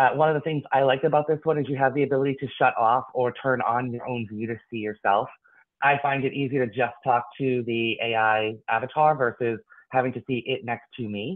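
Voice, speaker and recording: Fairly quick speech from a man, medium in pitch, the pitch varying in an ordinary way. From Boston, US. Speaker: tech company executive. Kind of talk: business presentation Q&A. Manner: fast.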